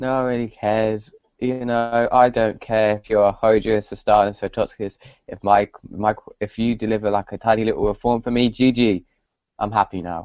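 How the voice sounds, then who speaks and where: This man's voice sits at a fairly low pitch and moves at a moderate pace. His intonation is monotone and flat. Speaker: podcast host. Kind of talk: casual chat. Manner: halting.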